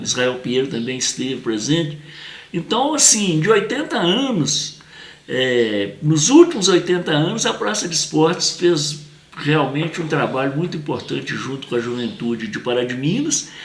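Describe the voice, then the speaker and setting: Lively intonation carries the voice at a moderate pace. Noticeable background noise sits behind it. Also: man, fairly high pitch for a man. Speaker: memorialist and show host. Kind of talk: interview conversation.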